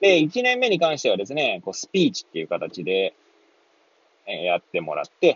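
This man talks at a fairly quick pace. His tone is relaxed. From Hachioji, Tokyo. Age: 30s. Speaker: pharmacist podcaster. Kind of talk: casual solo talk. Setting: in a car. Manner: relaxed with many fillers.

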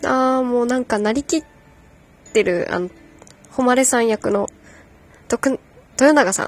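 In a dry, close sound with no echo, a woman speaks high-pitched and fairly slowly, with ordinary pitch variation and long, frequent pauses. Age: 30s. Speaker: podcast host. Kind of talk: casual solo talk about a hobby. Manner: laughing often; unsteady delivery.

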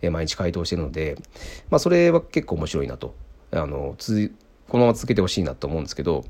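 Very fast delivery with vocal fry, long and frequent pauses, ordinary pitch variation, and a very clean recording over a silent background. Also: man, very deep, low pitch for a man. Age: 30s. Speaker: podcast host, software engineer. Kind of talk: casual solo talk. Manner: hesitant, many fillers.

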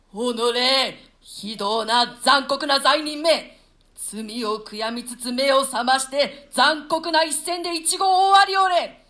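A woman's put-on character voice, high-pitched, bright and sharp, slow with long, frequent pauses and ordinary pitch variation.

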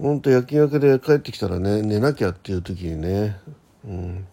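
A man talks at a moderate pace with fairly low pitch and vocal fry. His tone is dark and mellow, with ordinary pitch variation.

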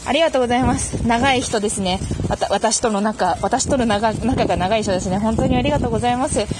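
A woman with a fairly high pitch, at a fairly quick pace, with ordinary pitch variation and very even loudness, against noticeable background noise. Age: 20s. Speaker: podcast host. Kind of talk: casual monologue answering listener mail. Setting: outdoors, walking to a station in light rain.

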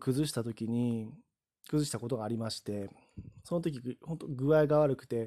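A man talks at a moderate pace in a medium pitch with a dark, mellow tone. The recording is very clean, with a silent background. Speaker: podcaster. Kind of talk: solo talk monologue. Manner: frequent fillers like ano.

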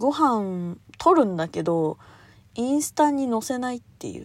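Speaking at a fairly slow pace with very wide pitch swings, a woman is heard in a very clean recording with a silent background. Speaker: solo podcast host. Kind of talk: casual solo monologue. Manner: high-energy, animated; frequent laughter.

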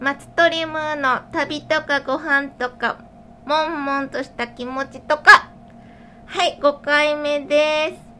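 Raised and projected, a woman's high voice moves at a very slow pace in a flat monotone, with big swings in loudness. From Shiga, Japan. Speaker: podcast host and food writer. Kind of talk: casual chat. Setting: recorded in a shop.

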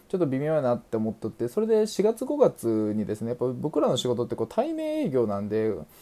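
Very fast in pace, a man talks with a medium pitch and a dark, mellow tone. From Aichi, Japan. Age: 20s. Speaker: podcaster, salesperson. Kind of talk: self-introduction monologue. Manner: casual, fast-flowing.

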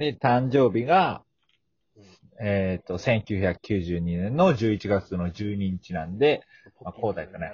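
At a very slow pace, a man talks in a somewhat breathy voice with fairly low pitch. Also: lively intonation. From Fukuoka, Japan. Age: 20s. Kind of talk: casual chat.

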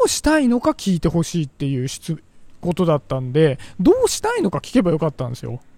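Lively intonation marks a man's high-pitched voice with a dark, mellow tone, at a fairly quick pace. The sound is dry and close with no echo. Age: 40s. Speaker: podcaster. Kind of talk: casual monologue. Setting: outdoors, walking.

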